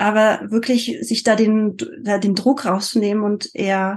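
A woman with a French accent speaks in a fairly high, somewhat breathy voice. Her pace is fairly slow and her intonation fairly even. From France. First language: French (speaking German). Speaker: multilingualism coach. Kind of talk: interview. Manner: hesitant with frequent fillers.

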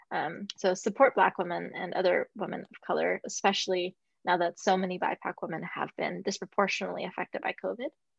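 A woman's very fast speech with hardly any pauses and big swings in loudness, dry and close with no echo, against a quiet background. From raised in Russia until age seven, then US. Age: 30s. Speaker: yoga and Muay Thai instructor, women's empowerment advocate. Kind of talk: casual chat.

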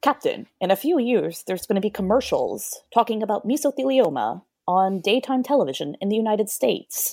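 A woman with an American accent talks at a fairly quick pace with hardly any pauses, using lively intonation, fairly high pitch, a dark, mellow tone and vocal fry. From Georgia, US South. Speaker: English teacher, podcast guest. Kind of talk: casual chat.

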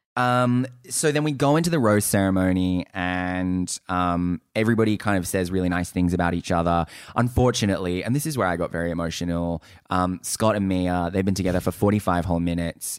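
On a very clean recording with a silent background, a man with an Australian accent speaks with a very deep, low pitch and ordinary pitch variation. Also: fairly quick pace. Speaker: podcast co-host. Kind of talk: casual chat. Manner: loud.

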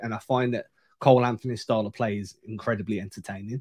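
A man with an English accent. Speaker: basketball podcast co-host. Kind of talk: casual chat.

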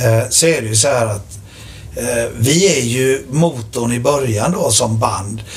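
A man speaks at a fairly slow pace and medium pitch with ordinary pitch variation, with audible room echo and noticeable background noise. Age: 40s. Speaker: rock drummer. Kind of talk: casual chat.

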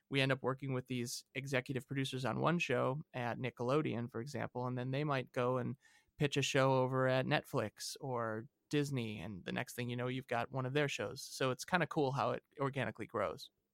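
A man with an unremarkable speaking voice, medium pitch and fairly even intonation talks at a fairly quick pace in a very clean recording with a silent background and a dry, close sound with no echo. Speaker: sound editor. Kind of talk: interview.

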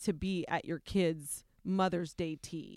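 On a very clean recording with a silent background, a woman talks fairly slowly in a fairly low pitch. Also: dry, close sound with no echo. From US Midwest, Ohio. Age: 40s. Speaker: radio morning show co-host. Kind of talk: casual interview. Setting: radio studio. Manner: animated.

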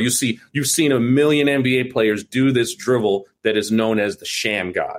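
A man with an American accent talks at a moderate pace in an unremarkable speaking voice, his medium pitch showing ordinary variation and hardly any pauses. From New York (Brooklyn). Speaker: film director. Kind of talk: casual chat.

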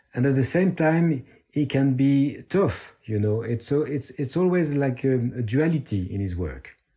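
On a very clean recording with a silent background, a man with a medium pitch and a dark, mellow tone speaks somewhat breathily at a fairly slow pace with lively intonation. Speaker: art gallerist. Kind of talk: interview.

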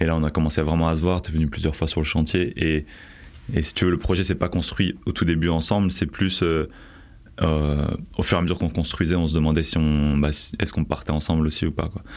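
Very deep, low male voice, fairly quick in pace and fairly even in intonation. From Bordeaux, France. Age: 30s. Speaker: tiny house dweller, 3D artist. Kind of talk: testimony.

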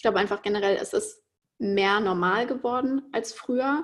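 A woman talks fairly slowly with a fairly high pitch, ordinary pitch variation, and a normal speaking voice. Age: 20s. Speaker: podcast host. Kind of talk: interview. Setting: video call.

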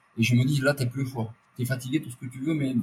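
A man talks at a fairly quick pace in a medium-pitched, somewhat breathy voice. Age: 50s. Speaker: ultra-endurance athlete. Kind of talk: interview.

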